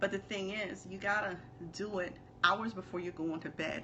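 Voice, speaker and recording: A medium-pitched female voice with fairly even intonation over noticeable background noise. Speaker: business coach. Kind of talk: live stream talk. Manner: fast; casual.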